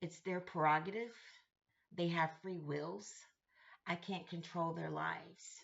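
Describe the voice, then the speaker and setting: Using vocal fry, a woman with a fairly low pitch speaks at a fairly slow pace with ordinary pitch variation and long, frequent pauses. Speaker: vlogger sharing personal journey. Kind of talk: personal reflective monologue.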